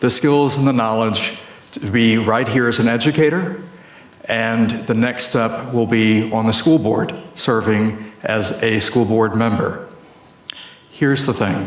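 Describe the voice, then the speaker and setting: A man talks at a very slow pace with a medium pitch, fairly even intonation and very even loudness, amid noticeable background noise and audible room echo. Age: 50s. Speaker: school board candidate. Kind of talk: debate closing statement.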